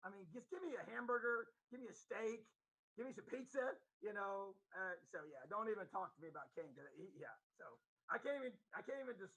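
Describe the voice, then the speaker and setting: In a raised, projected voice with an American accent, the speaker moves at a fairly quick pace with long, frequent pauses, very wide pitch swings, big swings in loudness and a bright, sharp tone. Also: man. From Indiana. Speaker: football coach. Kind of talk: casual chat.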